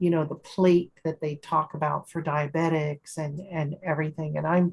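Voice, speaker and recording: A woman talks in a somewhat breathy voice. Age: 60s. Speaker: support group host. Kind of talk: casual chat.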